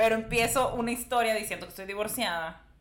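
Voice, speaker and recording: A woman talks at a fairly quick pace in a medium pitch. There is audible echo from the room. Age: 30s. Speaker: stand-up comedian. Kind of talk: casual chat.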